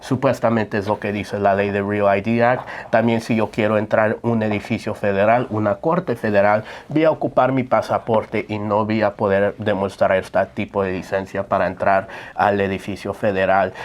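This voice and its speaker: A man talks at a moderate pace in a fairly low pitch, his intonation fairly even. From United States. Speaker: immigration lawyer. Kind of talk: Q&A live stream. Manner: hesitant, many fillers.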